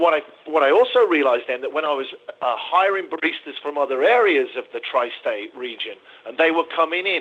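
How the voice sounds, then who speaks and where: Noticeable background noise sits under a man talking with an English accent. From England. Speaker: coffee shop owner. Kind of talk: interview.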